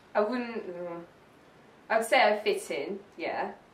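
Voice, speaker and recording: A woman's voice with audible room echo. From South Africa, Johannesburg. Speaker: interviewee. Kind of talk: oral history interview.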